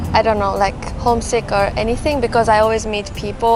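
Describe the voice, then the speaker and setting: Over noticeable background noise and audible room echo, a woman talks at a very fast pace in a monotone, flat intonation. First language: Japanese. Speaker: graduate student. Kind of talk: interview. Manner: halting.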